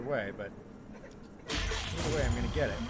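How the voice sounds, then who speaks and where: Over noticeable background noise, a man speaks quietly at a moderate pace. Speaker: gaming YouTuber. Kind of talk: let's play commentary. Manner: casual, animated; lowered voice, quieter.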